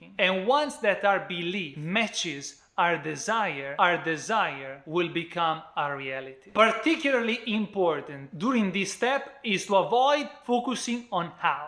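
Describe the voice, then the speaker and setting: A man with an Italian accent projects a raised, high-pitched voice over noticeable background noise, his pitch swinging very widely. He talks at a fairly slow pace with hardly any pauses. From Italy. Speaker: book reviewer. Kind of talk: book review talk to camera.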